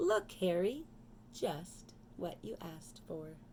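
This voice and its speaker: Over clear background noise, a woman puts on a character voice at a fairly low pitch and a fairly slow pace. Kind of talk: children's storytime reading. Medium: read story.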